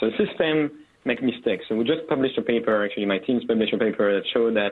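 This man speaks at a very fast pace and a medium pitch, with a non-native accent. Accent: foreign-accented English. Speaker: tech company executive. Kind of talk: radio interview. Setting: phone call. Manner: frequent tag questions and fillers.

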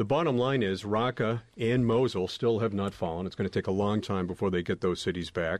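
A normal speaking voice from a man, fairly low in pitch with ordinary pitch variation, fairly quick with hardly any pauses, over a quiet background. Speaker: journalist panelist. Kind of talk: panel discussion.

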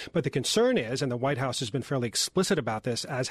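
A man speaks at a very fast pace. His pitch sits in the middle range. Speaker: journalist panelist. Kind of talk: panel discussion.

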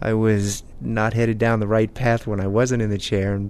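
Delivered at a moderate pace, this man's fairly low voice stays monotone with flat intonation. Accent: American. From Maryland. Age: 40s. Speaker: father who uses a wheelchair. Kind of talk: personal interview.

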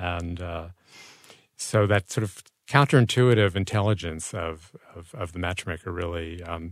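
Against a quiet background, a man talks with a very deep, low pitch. His pitch variation is ordinary. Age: 60s. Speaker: author and journalist. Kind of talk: casual interview.

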